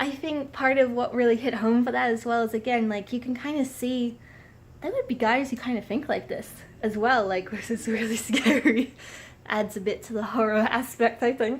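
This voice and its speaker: Amid noticeable background noise, a woman speaks at a high pitch with fairly even intonation. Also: moderate pace. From Australia. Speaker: book reviewer. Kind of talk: book review. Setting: traveling in San Diego. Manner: halting, many fillers.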